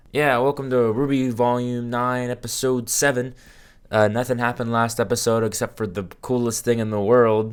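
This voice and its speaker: A man's medium-pitched voice, flat and monotone, at a moderate pace, on a very clean recording with a silent background. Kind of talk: casual reaction commentary to camera.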